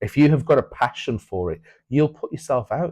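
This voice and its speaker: Against a quiet background, a man talks at a moderate pace in a dark, mellow voice. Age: 40s. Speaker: builder and part-time trader. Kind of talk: casual interview chat.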